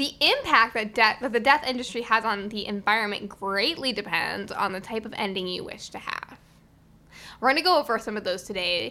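A woman speaks at a fairly quick pace in a fairly high voice with a bright, sharp tone. Her pitch varies in an ordinary way, while loudness swings widely. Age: young. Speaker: podcast co-host. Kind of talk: casual chat.

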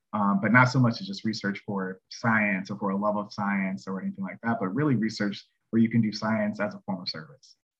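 In an American accent, a man talks in an ordinary speaking voice at a fairly quick pace and fairly low pitch, with fairly even intonation and hardly any pauses. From North Carolina, near Charlotte. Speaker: research scientist. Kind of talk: casual interview.

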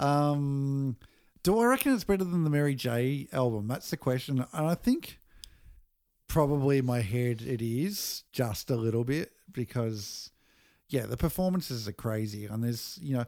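With an Australian accent, a man speaks at a moderate pace in a medium pitch with ordinary variation and a dark, mellow tone, on a very clean recording with a silent background. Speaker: music podcast host. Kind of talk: casual chat. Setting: at a home over dinner.

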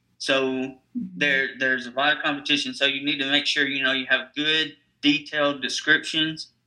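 In a Tennessee accent, the voice has a bright, sharp tone and a monotone, flat intonation. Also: man, fairly high pitch for a man, moderate pace. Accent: Southern US (Tennessee). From US South, Nashville, Tennessee. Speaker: digital marketing agency owner. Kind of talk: interview.

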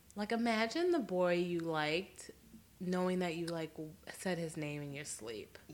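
This woman has an ordinary speaking voice at a fairly low pitch. She talks at a moderate pace with ordinary pitch variation. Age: 20s. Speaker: podcast co-host. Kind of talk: casual chat.

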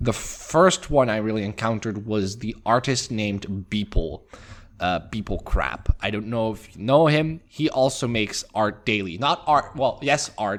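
In a very clean recording with a silent background, a man with an unremarkable speaking voice talks at medium pitch with lively intonation. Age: 20s. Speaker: pixel artist podcast co-host. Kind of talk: casual chat.

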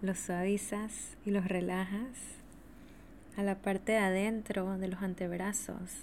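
At a very slow pace, a woman speaks in a warm, gentle tone at medium pitch with monotone, flat intonation. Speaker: podcast host and energy teacher. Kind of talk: guided meditation (yoga nidra), spoken slowly to the listener. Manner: slow, soothing, calm, repetitive, with long pauses; warm, gentle, intimate.

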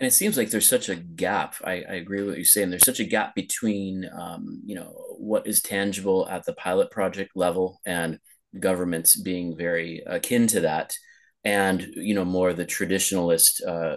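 Against a quiet background, a man keeps to a moderate pace. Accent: West Coast. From Los Angeles, US West Coast. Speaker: podcast host. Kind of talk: casual interview conversation. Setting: video call, remote, host in Lisbon. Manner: filler-heavy, conversational.

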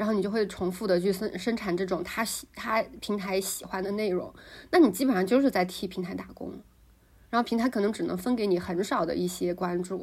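Her pitch is medium, with ordinary variation. The woman talks at a fairly quick pace. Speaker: podcast co-host. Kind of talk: casual chat. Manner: many filler sounds, hesitant.

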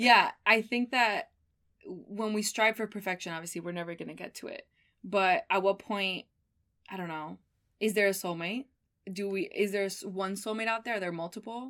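A woman with a Miami accent, medium pitch, ordinary pitch variation, a bright, sharp tone and a moderate pace, on a very clean recording with a silent background. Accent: American (Miami). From Miami, US. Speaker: graduate student. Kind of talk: casual chat.

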